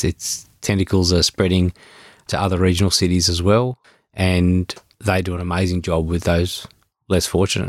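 A man speaks with an Australian accent and a very deep, low pitch. The recording is very clean, with a silent background and a dry, close sound with no echo. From Melbourne, western suburbs, Australia. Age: 40s. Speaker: real estate business owner. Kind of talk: casual interview chat.

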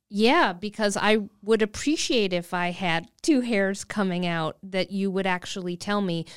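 In a very clean recording with a silent background, a woman at medium pitch talks at a fairly slow pace with hardly any pauses and ordinary pitch variation. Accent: Upper Midwest. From Wisconsin. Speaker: comedian and cartoonist. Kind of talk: casual chat.

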